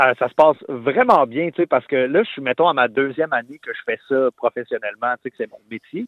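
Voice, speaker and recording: A man with a Quebec accent talks at a fairly quick pace with hardly any pauses, his pitch fairly high and ordinary in variation. His loudness swings widely. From Quebec, Terrebonne. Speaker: singer-songwriter. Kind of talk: interview. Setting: phone call.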